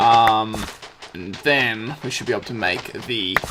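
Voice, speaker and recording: A man with a medium-pitched voice talks at a fairly slow pace over noticeable background noise. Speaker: gaming video creator. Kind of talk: let's play commentary. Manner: casual, frequent filler words.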